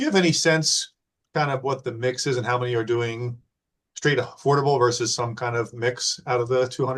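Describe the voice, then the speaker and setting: A man talks very fast at a medium pitch, his voice somewhat breathy. His intonation stays fairly even against a quiet background. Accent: American. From New Jersey. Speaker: webinar host. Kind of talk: Q&A moderation.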